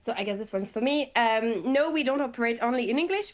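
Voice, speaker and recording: In a French accent, a woman speaks at a fairly high pitch with ordinary pitch variation. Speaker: company growth manager. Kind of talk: webinar Q&A answer. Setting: online webinar.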